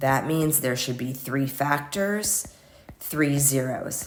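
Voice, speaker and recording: Noticeable background noise sits behind this recording. A woman speaks at a very deep, low pitch. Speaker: math teacher. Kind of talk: tutorial. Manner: casual.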